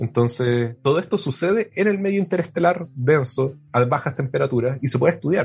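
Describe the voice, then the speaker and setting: A man's fairly high, somewhat breathy voice with a Chilean accent, at a fairly quick pace with hardly any pauses, lively intonation and very even loudness. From southern Chile (Puerto Williams, Puerto Montt). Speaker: astronomy PhD student. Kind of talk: casual interview. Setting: remote call.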